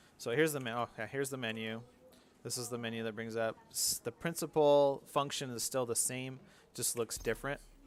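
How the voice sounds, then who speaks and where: Fairly quick delivery with fairly even intonation, on a very clean recording against a silent background. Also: man, medium pitch for a man. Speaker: video game streamer. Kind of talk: gameplay commentary. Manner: casual, hesitant with fillers.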